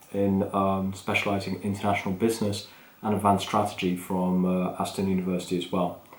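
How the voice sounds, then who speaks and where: This man speaks with an English accent at a fairly low pitch. Room echo is audible. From England. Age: 30s. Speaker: podcast host, business manager. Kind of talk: unscripted solo podcast talk. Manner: casual, off the cuff with fillers.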